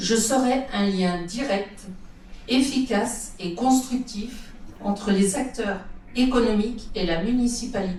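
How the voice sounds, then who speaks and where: A woman speaks at a fairly high pitch and a very slow pace, with ordinary pitch variation. Audible room echo and noticeable background noise fill the recording. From Vendée, western France (La Tranche-sur-Mer). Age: 60s. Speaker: shopkeeper, local election candidate. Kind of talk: campaign speech at public meeting. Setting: public meeting hall with audience.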